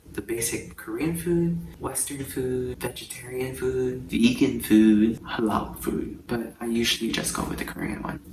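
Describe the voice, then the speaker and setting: Noticeable background noise sits behind a man's medium-pitched voice. He speaks at a fairly slow pace with ordinary pitch variation. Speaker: travel vlogger. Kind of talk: casual vlog talk. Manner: soft-spoken.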